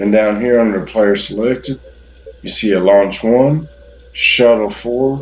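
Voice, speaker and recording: Speaking at a fairly slow pace in a Southern US accent, a man uses a medium pitch with ordinary pitch variation over noticeable background noise. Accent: southern drawl. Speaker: gaming YouTuber. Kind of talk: game tutorial. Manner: hesitant, filler-heavy.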